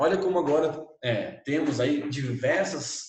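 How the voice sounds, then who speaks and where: A man talks in an animated tone. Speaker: teacher. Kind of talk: lecture.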